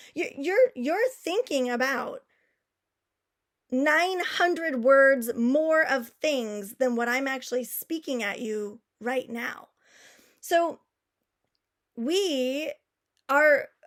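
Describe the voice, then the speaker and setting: Delivered at a very slow pace, the speech has ordinary pitch variation. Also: woman, long, frequent pauses. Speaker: public speaking coach. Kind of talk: online workshop.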